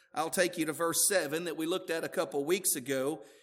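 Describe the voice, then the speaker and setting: With a Southern US accent, a man speaks in a high pitch with fairly even intonation on a very clean recording with a silent background. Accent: southern US drawl. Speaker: pastor. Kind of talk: sermon. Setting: church.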